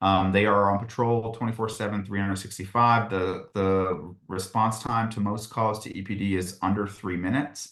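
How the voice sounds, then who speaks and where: The background is quiet as a man speaks with hardly any pauses. His intonation stays fairly even. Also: fairly low pitch for a man. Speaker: university housing staff presenter. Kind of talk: informational presentation. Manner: fast.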